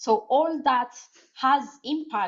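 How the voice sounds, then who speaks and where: A woman is talking. Her speech carries a non-native accent. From Ethiopia. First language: not English. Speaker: cognitive scientist. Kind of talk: conference talk with Q&A. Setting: conference with audience. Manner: halting, many fillers.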